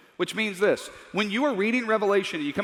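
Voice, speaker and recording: Amid noticeable background noise, a man speaks in an animated tone. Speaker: Bible teacher. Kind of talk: lecture. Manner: fast.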